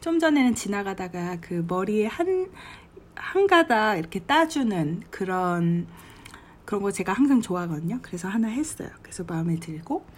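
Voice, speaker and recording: A woman speaks in a relaxed, somewhat breathy tone. Her pitch swings very widely. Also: medium pitch for a woman, moderate pace. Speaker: travel vlogger. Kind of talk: travel diary monologue. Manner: relaxed conversational.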